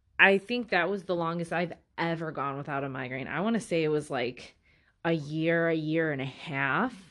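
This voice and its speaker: In an American accent, a woman uses a plain, everyday voice with a fairly low pitch and ordinary pitch variation, on a very clean recording with a silent background. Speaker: podcast host. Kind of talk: solo monologue about personal health. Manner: filler-heavy, conversational.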